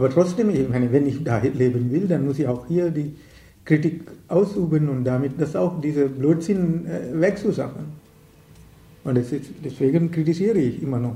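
At a moderate pace with long, frequent pauses, a man speaks in a fairly high, dark and mellow voice that is somewhat breathy, with ordinary pitch variation. Audible room echo surrounds the voice. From Sri Lanka. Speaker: writer and activist. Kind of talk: interview. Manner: halting, many hesitations.

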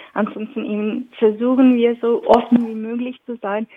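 A woman's monotone, flat delivery in a non-native accent. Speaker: event organizer. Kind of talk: interview. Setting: phone call. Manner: halting, with many fillers.

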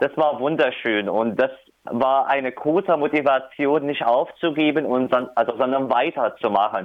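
At a moderate pace, a man talks at a medium pitch with ordinary pitch variation and very even loudness. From Syria. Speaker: refugee rights activist. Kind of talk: interview. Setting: phone call. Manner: hesitant, many fillers.

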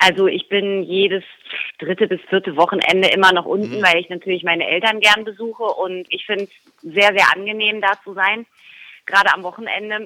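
A woman talks in an ordinary speaking voice at medium pitch. Her pace is fairly quick and her intonation fairly even. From Baden, Germany (Baden-Baden). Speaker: soap opera actress. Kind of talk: interview.

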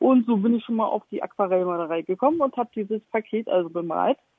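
A woman with a fairly high pitch and lively intonation, in an unremarkable speaking voice. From Stralsund, Mecklenburg-Vorpommern. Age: 40s. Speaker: artist. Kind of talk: interview.

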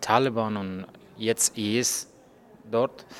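The speaker is a man. He talks at a very slow pace with monotone, flat intonation. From Afghanistan. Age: 30s. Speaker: journalist. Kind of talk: interview. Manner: halting.

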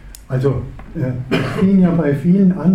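Lively intonation at a fairly slow pace, with audible room echo and noticeable background noise. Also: man. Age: 70s. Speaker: activist, retired teacher. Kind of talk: panel discussion. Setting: stage with audience.

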